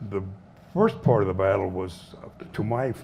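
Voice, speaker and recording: A man speaks with a Southwestern US accent. His intonation is lively. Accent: American Southwest. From Arizona, USA. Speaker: Korean War veteran. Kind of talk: veteran's talk to an audience.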